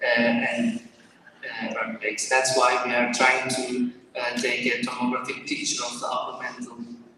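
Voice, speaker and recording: Audible room echo and noticeable background noise around a man talking. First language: Turkish. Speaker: doctoral researcher presenting thesis. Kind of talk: short research presentation. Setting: stage with audience in hall. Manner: halting, many filler sounds.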